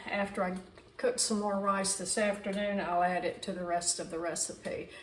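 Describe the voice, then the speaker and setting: With a Southern US accent, a woman speaks at a medium pitch amid audible room echo and noticeable background noise. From US South, Mississippi. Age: 80s+. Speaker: cooking video creator. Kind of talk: cooking tutorial. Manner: casual, conversational.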